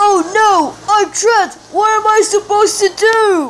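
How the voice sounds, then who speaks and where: An extremely high-pitched, put-on character voice delivered at a moderate speed. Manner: excitable, goofy.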